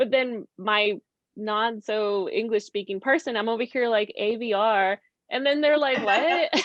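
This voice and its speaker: A woman's fairly high voice with a Spanish accent, fairly slow, with ordinary pitch variation and a dry, close sound with no echo. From Mexico. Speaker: real estate investor. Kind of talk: interview.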